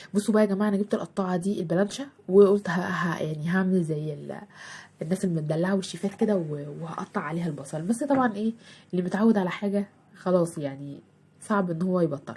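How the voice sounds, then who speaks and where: This soft-spoken voice has an Egyptian accent and a dark, mellow tone with ordinary pitch variation. It is somewhat breathy and moves at a fairly quick pace. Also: woman, medium pitch for a woman. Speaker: homemaker vlogger. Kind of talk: cooking vlog. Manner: halting.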